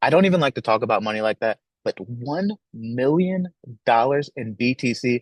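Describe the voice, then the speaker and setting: Animated in tone, a man talks at a medium pitch with very wide pitch swings. The sound is dry and close, with no echo. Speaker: company founder presenting a product launch. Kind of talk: live-streamed launch presentation. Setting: live stream with chat. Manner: fast.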